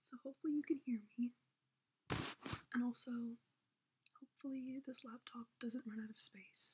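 A woman speaks quietly at a moderate pace. Her voice is high-pitched with fairly even intonation. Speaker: YouTuber. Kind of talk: casual vlog chat. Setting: home, host family's house. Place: home room. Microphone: laptop recording, may be hard to hear; webcam.

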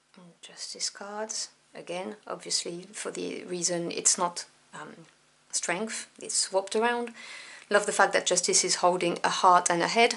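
A woman with a French accent, fairly even intonation, big swings in loudness and a fairly slow pace. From France. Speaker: tarot deck reviewer. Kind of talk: product review.

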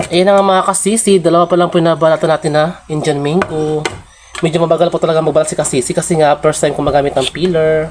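Noticeable noise fills the background. The words come out very fast. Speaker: vlogger. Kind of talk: casual vlog narration.

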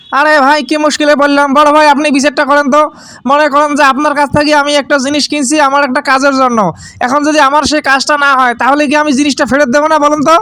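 In a put-on character voice, a man speaks very fast, raised and projected, whiny and monotone, at an extremely high pitch. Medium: cartoon. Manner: whiny, mixes broken English into Bangla.

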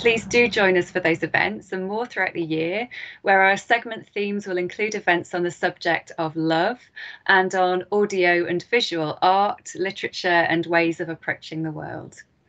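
With ordinary pitch variation, a woman talks at a moderate speed against a quiet background. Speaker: event host introducing a speaker. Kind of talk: formal event introduction. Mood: warm, welcoming. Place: home room. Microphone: webcam.

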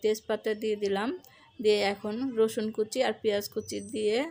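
The recording is very clean, with a silent background. A woman speaks at a fairly high pitch. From Bangladesh. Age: middle-aged. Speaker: cooking vlogger. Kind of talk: cooking tutorial. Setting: home kitchen. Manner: casual conversational.

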